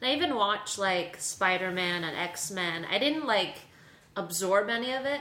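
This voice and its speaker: Lively intonation at a moderate pace in an American accent, over noticeable background noise. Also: woman, medium pitch for a woman. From New York City. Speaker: improv comedian. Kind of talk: casual chat.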